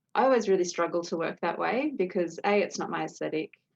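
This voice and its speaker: A woman with an Australian accent is heard in a dry, close sound with no echo. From Australia, New South Wales. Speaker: potter. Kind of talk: interview answer.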